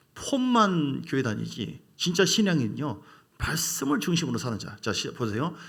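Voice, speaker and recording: A high-pitched male voice with audible room echo. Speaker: pastor. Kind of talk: sermon. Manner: fast.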